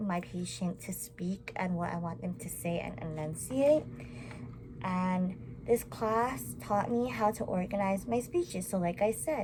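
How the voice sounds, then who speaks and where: Mumbling at a fairly slow pace, a woman with a medium pitch makes very wide pitch swings. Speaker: college student. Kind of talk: class presentation to camera. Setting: recorded to camera. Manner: animated.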